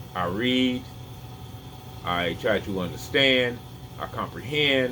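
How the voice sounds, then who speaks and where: Over noticeable background noise and audible room echo, a man talks very slowly at a medium pitch with ordinary pitch variation. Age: 50s. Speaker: health vlogger. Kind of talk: casual opinion vlog. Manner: halting.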